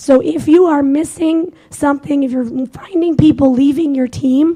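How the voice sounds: A woman's high-pitched voice, dark and mellow in tone, with fairly even intonation.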